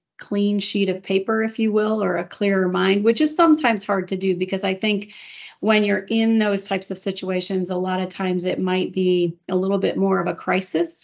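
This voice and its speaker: A woman talks in a normal speaking voice with a medium pitch. Her intonation stays fairly even. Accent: American. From US Midwest, Chicago area. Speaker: corporate executive. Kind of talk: casual chat.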